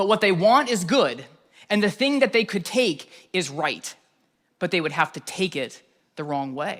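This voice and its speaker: This man's high voice swings very widely in pitch as he talks at a fairly slow pace. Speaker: pastor. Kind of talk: sermon.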